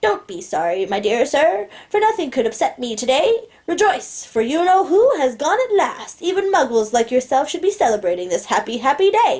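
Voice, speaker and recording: Squeaky and put-on, this character voice moves at a fairly quick pace with very wide pitch swings. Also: woman, high pitch for a woman. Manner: jubilant, gleeful.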